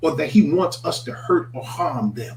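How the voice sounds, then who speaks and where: The man's voice is somewhat breathy. His pitch swings very widely. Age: 60s. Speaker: minister. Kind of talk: morning reflection broadcast. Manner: animated.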